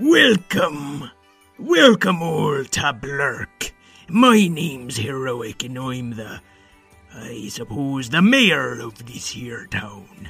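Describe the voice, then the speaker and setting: In a put-on, raspy character voice, the speaker goes at a very slow pace with long, frequent pauses. Faint music plays in the background. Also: man, fairly high pitch for a man. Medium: audio drama. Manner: loud, blustering.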